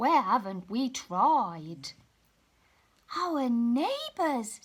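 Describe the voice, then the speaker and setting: A woman puts on a character voice, high in pitch and delivered at a very slow pace. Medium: read story.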